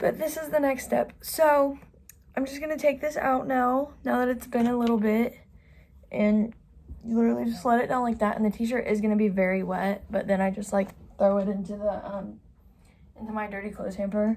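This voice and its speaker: Somewhat breathy, this voice moves along at a fairly quick pace, its pitch varying in an ordinary way. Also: woman, fairly high pitch for a woman. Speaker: beauty vlogger. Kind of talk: tutorial. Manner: casual, chatty.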